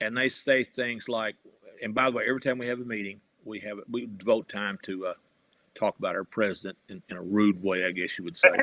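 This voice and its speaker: Recorded with a dry, close sound and no echo, a man talks at a fairly quick pace in a western Kentucky accent. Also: medium pitch for a man, ordinary pitch variation, big swings in loudness. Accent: Southern US (western Kentucky). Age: 70s. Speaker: retired journalist and professor, political writer. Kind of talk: interview. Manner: halting, with fillers.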